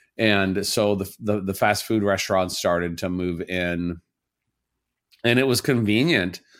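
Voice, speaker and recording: A man with an American accent talks in a normal speaking voice, fairly low in pitch with ordinary variation. His pace is fairly slow, and the recording is very clean with a silent background. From southern Indiana, US Midwest. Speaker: chef and cookbook author. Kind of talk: casual interview.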